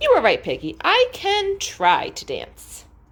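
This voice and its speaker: A woman's put-on character voice, extremely high in pitch, at a fairly slow pace. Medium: read story. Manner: slow, heavy, earnest.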